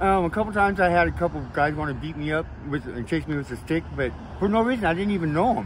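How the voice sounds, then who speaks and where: A man talks very fast with lively intonation. His voice is somewhat breathy. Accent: American. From Oregon. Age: 60s. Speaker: homeless man, former apple packer. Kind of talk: street interview. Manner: hesitant, many fillers.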